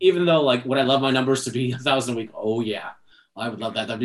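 The man's pitch varies in an ordinary way as he talks. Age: 20s. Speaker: podcast host. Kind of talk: casual chat. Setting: video call.

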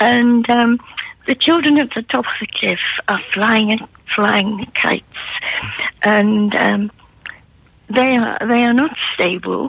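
There is noticeable background noise. A woman with a fairly high pitch speaks at a very slow pace. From northern England, Newcastle upon Tyne. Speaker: art historian and author. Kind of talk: radio interview. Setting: phone call.

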